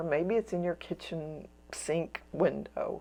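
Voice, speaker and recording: A woman's fairly low-pitched voice, dark and mellow in tone, at a fairly slow pace over a quiet background. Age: 70s. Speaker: watercolor teacher. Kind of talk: painting tutorial. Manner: casual, meandering with many fillers.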